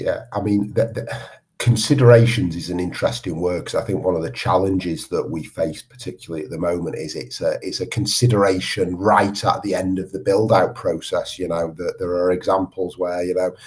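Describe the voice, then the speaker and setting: A man with a Manchester accent and a very deep, low pitch talks at a fairly quick pace with hardly any pauses and ordinary pitch variation, over noticeable background noise. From northern England, Manchester. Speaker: water industry research chief executive. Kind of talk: podcast interview.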